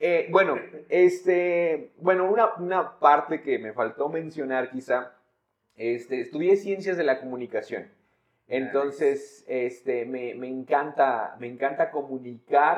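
A man talks at a fairly slow pace with lively intonation. His loudness swings widely. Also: fairly high pitch for a man. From Mexico, San Luis Potosí. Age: 20s. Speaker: pastor. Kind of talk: casual chat.

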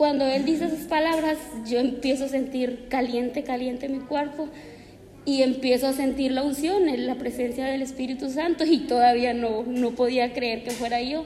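Fairly even intonation and a moderate pace come through noticeable background noise and audible room echo. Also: woman, high pitch for a woman. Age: 20s. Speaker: church member. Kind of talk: testimony. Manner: halting.

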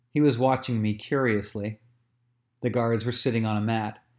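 In a normal speaking voice of medium pitch, a man talks at a moderate pace with fairly even intonation on a very clean recording with a silent background. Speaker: audiobook narrator. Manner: measured, expressive storytelling with a wry, playful, chatty tone in asides.

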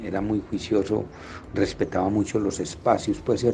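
A man with a fairly low pitch and a dark, mellow, somewhat breathy tone speaks at a fairly slow pace in a monotone, flat intonation. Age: 60s. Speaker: businessman sharing life story. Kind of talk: testimony.

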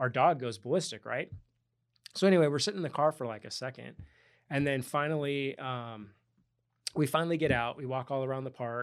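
On a very clean recording with a silent background, a man talks in a normal speaking voice at a fairly quick pace. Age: 40s. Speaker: real estate agent and crypto investor. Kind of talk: casual interview chat.

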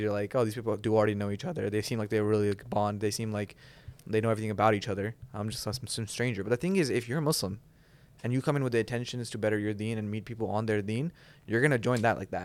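A man rattles along at a very fast pace while keeping a medium pitch. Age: 20s. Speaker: college student, podcast co-host. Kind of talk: casual chat; scripted intro.

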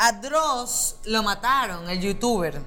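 A woman is speaking. Her tone is bright and sharp. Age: 30s. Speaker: podcast co-host, comedian. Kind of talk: casual comedic chat.

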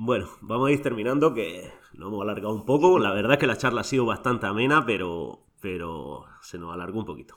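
A man talks in an ordinary speaking voice at a fairly low pitch and a fairly quick pace. His intonation is lively, and his loudness swings widely. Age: 40s. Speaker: podcast host, rugby referee. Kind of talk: casual interview.

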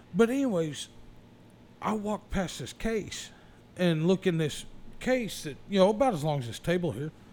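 With lively intonation and big swings in loudness, the speaker moves at a moderate pace, broken by long, frequent pauses. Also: man, high pitch for a man. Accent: American. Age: 40s. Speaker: podcast host. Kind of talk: casual chat.

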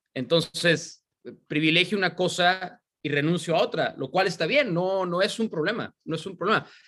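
At a moderate pace, a man talks in a high pitch with a bright, sharp tone and ordinary pitch variation. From Mexico, San Luis Potosí. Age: 30s. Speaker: sports commentator. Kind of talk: interview conversation.

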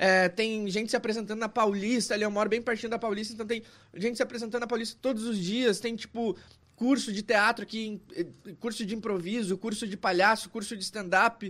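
A man's high-pitched, monotone voice with flat intonation at a fairly quick pace. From Caxias do Sul, Rio Grande do Sul, Brazil. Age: 30s. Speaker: poet and comedian. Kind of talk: casual chat.

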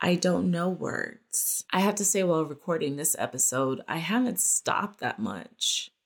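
A woman with a very deep, low pitch at a fairly slow pace. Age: 40s. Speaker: podcast host and photographer. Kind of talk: personal monologue. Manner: casual, conversational.

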